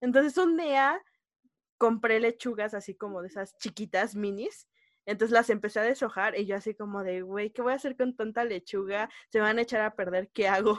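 With a Mexico City accent, a woman talks fairly quickly at a fairly high pitch in a very clean recording with a silent background and a dry, close sound with no echo. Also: ordinary pitch variation. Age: 20s. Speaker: podcast co-host. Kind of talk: casual chat.

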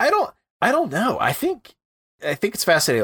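In a dry, close sound with no echo, a man with an American accent speaks in a bright, sharp tone. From US Midwest. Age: 20s. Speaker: podcaster and writer. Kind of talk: casual chat. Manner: animated.

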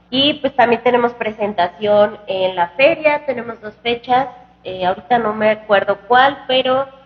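Against noticeable background noise, a woman with a fairly high pitch talks at a fairly slow pace with ordinary pitch variation. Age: 20s. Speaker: singer. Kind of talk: casual chat. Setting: restaurant.

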